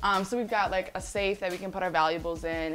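The intonation is flat and monotone at a moderate pace. Faint music plays in the background. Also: woman. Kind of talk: casual tour guide chat.

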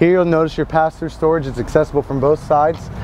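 The sound is dry with no echo as a man speaks over light background noise. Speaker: RV salesman. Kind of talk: product walk-through presentation. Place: street.

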